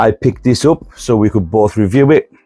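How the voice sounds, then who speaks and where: Fairly quick speech with a northern UK accent, ordinary pitch variation and music in the background. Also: man. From northern England. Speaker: fragrance reviewer. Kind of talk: casual product review.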